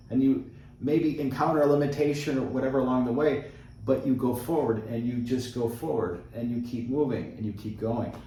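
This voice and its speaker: Over noticeable background noise and audible room echo, a man talks at a fairly quick pace with a medium pitch and fairly even intonation. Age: 50s. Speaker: travel vlogger. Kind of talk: casual chat.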